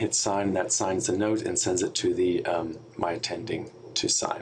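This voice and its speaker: A man speaks at a fairly slow pace. The room echo is audible, and there is noticeable background noise. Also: very even loudness. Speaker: software trainer for hospital staff. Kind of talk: tutorial. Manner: many filler words (um, uh).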